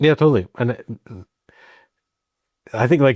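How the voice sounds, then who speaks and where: A man talks very fast, and the sound is dry and close with no echo. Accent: American. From US, Colorado. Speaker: expat comedian. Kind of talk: podcast interview. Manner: halting, many restarts.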